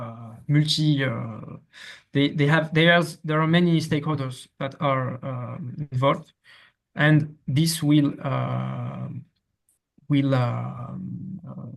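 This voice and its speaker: Very slowly and somewhat breathily, a fairly high-pitched man speaks with fairly even intonation but big swings in loudness. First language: French. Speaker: academic researcher presenting. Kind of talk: academic presentation. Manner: halting, many fillers and repetitions.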